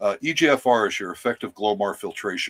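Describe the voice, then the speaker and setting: A man's plain, everyday voice at medium pitch, dry and close with no echo. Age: 60s. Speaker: spiritual speaker. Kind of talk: casual chat.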